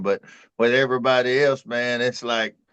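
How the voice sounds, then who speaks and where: At a moderate pace, the speaker talks with an East Texas accent. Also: man. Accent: East Texas Southern. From East Texas, Tyler. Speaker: talk show co-host. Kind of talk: casual chat.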